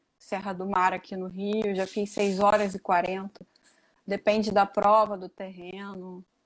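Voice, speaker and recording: A fairly slow pace with monotone, flat intonation. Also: woman. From Niterói, Rio de Janeiro, Brazil. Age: 30s. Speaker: amateur trail runner. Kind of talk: casual interview.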